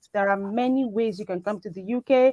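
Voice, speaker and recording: In a Nigerian accent, a woman talks fairly quickly at a fairly high pitch. The sound is dry and close, with no echo. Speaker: biomedical scientist. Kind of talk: talk show interview. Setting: live online show.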